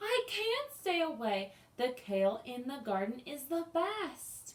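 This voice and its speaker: A woman's put-on character voice, high-pitched, at a fairly slow pace, with very wide pitch swings. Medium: read story.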